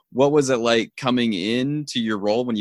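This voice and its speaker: A man is speaking. His pace is very fast. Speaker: podcast host. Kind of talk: casual interview chat. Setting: remote recording.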